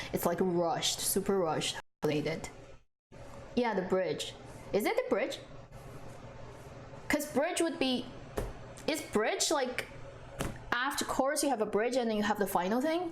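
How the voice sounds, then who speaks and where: With music in the background, a woman with a Chinese accent talks in a high voice with very wide pitch swings and very even loudness, pausing long and often. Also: moderate pace. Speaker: drama reviewer, streamer. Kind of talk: live stream chat. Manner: casual, hesitant with fillers.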